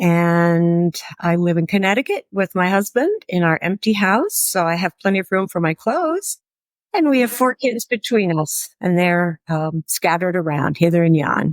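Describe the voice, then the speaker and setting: In an American accent, a woman with an unremarkable speaking voice talks at medium pitch and a moderate pace, with ordinary pitch variation and very even loudness, in a very clean, dry, close recording with no echo and a silent background. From US Pacific Northwest, Seattle. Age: 60s. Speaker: retired school librarian. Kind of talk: interview.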